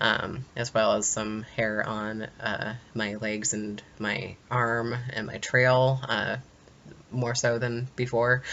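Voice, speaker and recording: A man talks at a very slow pace. His intonation stays monotone and flat. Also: medium pitch for a man. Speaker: vlogger. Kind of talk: video diary. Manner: halting, many fillers.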